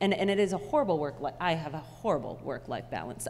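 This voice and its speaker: With light background noise, a woman with vocal fry talks at a fairly quick pace and lively intonation. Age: 30s. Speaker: live events technician. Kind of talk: panel discussion. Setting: stage with audience. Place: hall. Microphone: handheld.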